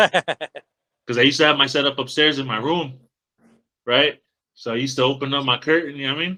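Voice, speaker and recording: Loud and fairly quick, a man speaks with fairly high pitch and a bright, sharp tone. His intonation stays fairly even, and the sound is dry and close with no echo. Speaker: podcast host, trucking industry worker. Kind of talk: casual chat.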